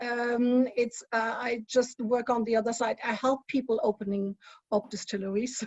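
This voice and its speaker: A woman speaks with a strong German accent and a high pitch. Her pace is moderate and her intonation monotone and flat. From Germany. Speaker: spirits industry consultant. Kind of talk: panel discussion.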